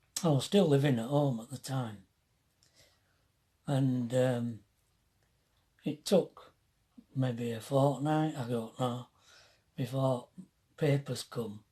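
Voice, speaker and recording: A man with a Yorkshire accent, very slow and somewhat breathy, dark and mellow in tone, with long, frequent pauses. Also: medium pitch for a man, ordinary pitch variation, big swings in loudness. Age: 70s. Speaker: retired motorhome vlogger, army veteran. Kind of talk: casual storytelling. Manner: halting.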